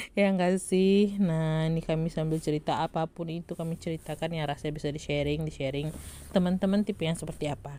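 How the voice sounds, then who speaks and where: Speaking at a very fast pace with hardly any pauses, a woman keeps a fairly low pitch and fairly even intonation. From West Sumatra, Lintau (Minang). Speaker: vlogger. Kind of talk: casual vlog voiceover. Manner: chatty, laughing.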